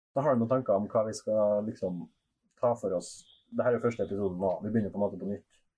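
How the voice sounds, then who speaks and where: This man talks at a very fast pace. His fairly low pitch holds fairly even intonation. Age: 20s. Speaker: sex shop worker. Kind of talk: casual chat.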